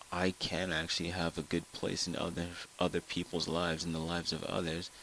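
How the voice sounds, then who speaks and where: Very deep, low male voice at a fairly quick pace. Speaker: gaming vlogger. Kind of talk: personal vlog. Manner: monotone; halting, repeats words.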